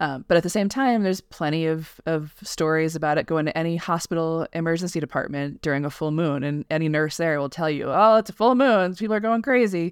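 Speaking at a fairly quick pace with hardly any pauses, this voice has a General American accent. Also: woman, fairly low pitch for a woman. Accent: flat general American. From US West, Colorado. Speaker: science writer. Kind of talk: interview. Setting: remote call.

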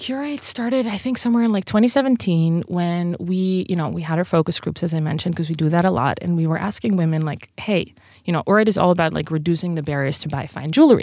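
Her dark, mellow tone and fairly low pitch carry lively intonation as this woman speaks very fast. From Netherlands. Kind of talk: interview. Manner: animated.

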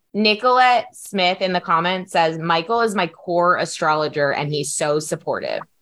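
With a normal speaking voice, a woman talks at a moderate pace with hardly any pauses, her fairly low pitch showing ordinary variation. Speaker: EFT healer and podcast host. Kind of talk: casual chat. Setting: video call.

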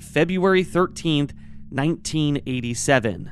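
Over music in the background, a man with a fairly high pitch talks with lively intonation. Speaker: true crime podcast co-host. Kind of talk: true-crime narration, telling the case facts then casual commentary.

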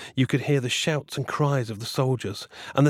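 The intonation holds fairly even. The speaker is reading aloud in a natural voice.

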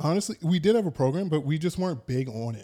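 Here a man speaks with an American accent. His tone is dark and mellow. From New York, Long Island. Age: 30s. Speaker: powerlifter. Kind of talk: casual chat.

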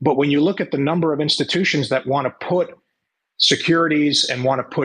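Speaking at a moderate pace, a man has a fairly high pitch and a bright, sharp tone. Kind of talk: panel discussion.

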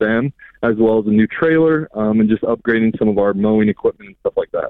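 This man has a plain, everyday voice. He talks at a moderate speed in a medium register. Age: 20s. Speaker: landscaping business owner, caller. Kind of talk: phone-in question. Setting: phone call.

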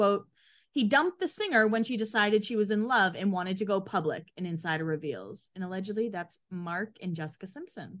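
A woman with an American accent and a plain, everyday voice, medium in pitch with lively intonation at a fairly quick pace, over a quiet background. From Boston area, Massachusetts. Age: 30s. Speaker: podcast co-host. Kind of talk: reading aloud; casual chat.

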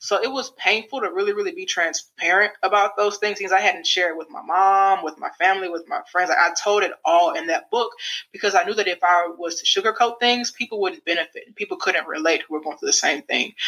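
A woman with an American accent speaks at a fairly quick pace in an ordinary speaking voice, her medium pitch moving with ordinary variation while her loudness swings widely and she hardly pauses at all. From US Midwest, St. Louis, Missouri. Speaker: former college basketball player and coach, podcast host. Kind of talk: interview.

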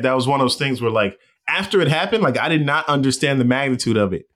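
On a very clean recording with a silent background, a man speaks very fast at a fairly high pitch. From Los Angeles, US West Coast. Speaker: baseball reporter. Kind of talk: casual interview.

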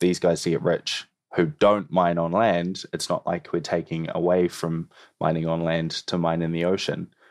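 Speaking at a moderate pace with a New Zealand accent, a man with a very deep, low pitch keeps a monotone, flat intonation, the sound dry and close with no echo over a quiet background. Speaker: environmental campaigner. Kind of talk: interview.

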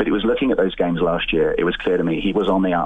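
A man rushes through his words at a very fast pace amid noticeable background noise. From England. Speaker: caller. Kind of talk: phone-in call.

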